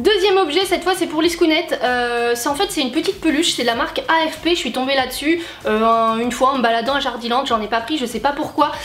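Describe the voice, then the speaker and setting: Amid noticeable background noise, a high-pitched woman speaks at a very fast pace with hardly any pauses. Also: lively intonation. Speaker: YouTuber, horse and dog owner. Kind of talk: casual vlog talk to camera. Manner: many hesitations (euh).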